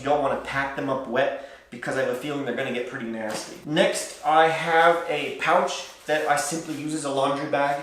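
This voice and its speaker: A man's fairly high, fairly even voice moves at a moderate speed, with noticeable noise around him and audible echo in the room. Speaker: travel vlogger. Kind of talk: gear tutorial vlog. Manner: casual, with many fillers.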